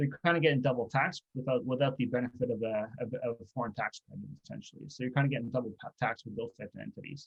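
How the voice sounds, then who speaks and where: A man with a Canadian accent, somewhat breathy, at a very fast pace with fairly even intonation, dry and close with no echo. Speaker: cross-border tax accountant. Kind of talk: webinar presentation. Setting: online webinar. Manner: halting, many fillers.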